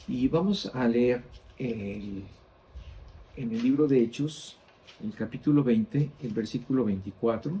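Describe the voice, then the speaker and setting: A man speaks very slowly at a medium pitch, his dark, mellow tone somewhat breathy and his pitch varying in an ordinary way. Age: 60s. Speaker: Bible teacher. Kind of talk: Bible study teaching.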